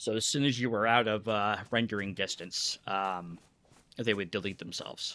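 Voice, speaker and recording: In a very clean recording with a silent background, a man mumbles at a moderate pace in a fairly low voice with a bright, sharp tone and ordinary pitch variation. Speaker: gaming streamer. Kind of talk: live gameplay commentary. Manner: mumbling; halting.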